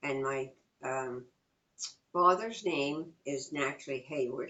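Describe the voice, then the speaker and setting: In a New York accent, a woman talks at a fairly slow pace. Her pitch varies in an ordinary way. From New York, Long Island and Queens. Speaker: interviewee, mother of the interviewer. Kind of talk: oral history interview. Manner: halting.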